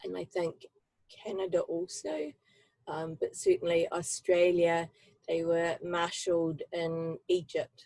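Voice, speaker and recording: The speaker is a woman with a New Zealand accent. She talks at a very slow pace. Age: 70s. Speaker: human library storyteller. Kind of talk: personal testimony. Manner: halting, many fillers.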